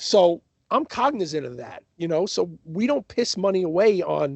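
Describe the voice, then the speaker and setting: The man's loudness swings widely while he keeps a moderate pace. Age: 50s. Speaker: death metal band musician. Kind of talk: casual interview discussion.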